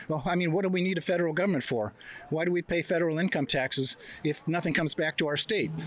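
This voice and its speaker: Here a man speaks at a very fast pace. His pitch is high, with ordinary variation. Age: 70s. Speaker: street interviewee at a protest. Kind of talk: street interview.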